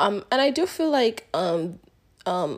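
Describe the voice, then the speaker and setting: A woman talks at a fairly slow pace and fairly high pitch in an unremarkable speaking voice. The recording is very clean, with a silent background. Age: 20s. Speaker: podcast host. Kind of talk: casual solo podcast monologue. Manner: laughs often while talking.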